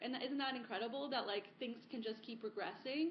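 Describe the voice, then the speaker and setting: With an American accent, a woman talks at a fairly quick pace and high pitch. Noticeable background noise is present. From South Florida, US. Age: 30s. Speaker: sustainability advocate. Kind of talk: podcast interview.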